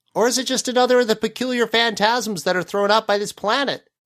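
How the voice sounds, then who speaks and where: In a put-on character voice at a fairly high pitch, someone speaks at a very fast pace on a very clean recording with a silent background. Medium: read story. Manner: ruminative, wordy.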